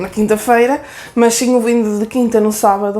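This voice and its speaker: A woman's high-pitched, dark, mellow voice in a northern Portuguese accent, with ordinary pitch variation. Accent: northern European Portuguese. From Aveiro district, northern Portugal. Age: 20s. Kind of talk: casual talk to camera.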